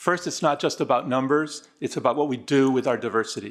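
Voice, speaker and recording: A man speaks at a fairly quick pace with a Spanish accent, his pitch fairly high with ordinary variation. The recording is very clean, with a silent background. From Argentina, raised in the US from 1966. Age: 60s. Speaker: DEI consultant. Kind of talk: formal presentation. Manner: formal.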